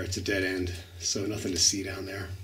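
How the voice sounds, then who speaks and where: A man talks at a fairly slow pace and a fairly low pitch. Light background noise sits behind him. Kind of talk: casual vlog commentary. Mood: calm, slightly wary of bats. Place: tunnel cave. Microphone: phone near.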